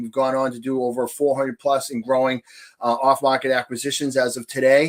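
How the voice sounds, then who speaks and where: Flat and monotone, a man talks at a fairly quick pace in a Boston accent. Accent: thick Boston. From New Hampshire, US. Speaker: real estate investor. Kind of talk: podcast interview. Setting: podcast. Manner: long-winded.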